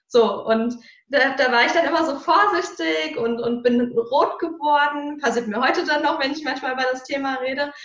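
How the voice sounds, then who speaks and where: Audible room echo surrounds a woman with a high pitch. Her intonation is lively and her pace moderate. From Germany, Hesse (Marburg area). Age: 30s. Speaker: mental coach and speaker. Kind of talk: interview conversation.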